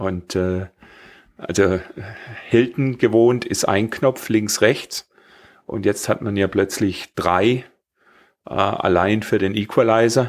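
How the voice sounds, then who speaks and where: A man's fairly low voice at a very slow pace, fairly even in intonation, with long, frequent pauses, on a very clean recording with a silent background. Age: 50s. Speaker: podcast host, square dance caller. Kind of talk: casual chat.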